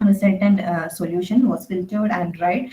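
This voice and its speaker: A soft-spoken woman at medium pitch, with ordinary pitch variation and a moderate pace. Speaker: conference presenter, researcher. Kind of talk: conference talk. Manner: halting. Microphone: too quiet.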